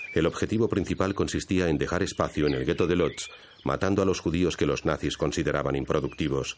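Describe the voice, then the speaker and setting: A man speaks at a fairly quick pace in a very deep, low voice with vocal fry, a solemn tone, very even loudness and ordinary pitch variation. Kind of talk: scripted documentary narration (Spanish dub). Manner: formal, measured, solemn.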